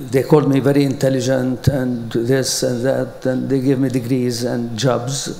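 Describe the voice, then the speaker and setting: A man with an Arabic accent and medium pitch speaks at a fairly slow pace, with audible room echo and noticeable background noise. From Palestine (Jerusalem). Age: 80s+. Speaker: educator. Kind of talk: conference talk. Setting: stage with audience. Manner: halting.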